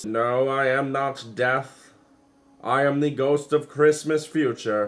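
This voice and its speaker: A man puts on a character voice, talking fairly slowly at a medium pitch. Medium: solo performance.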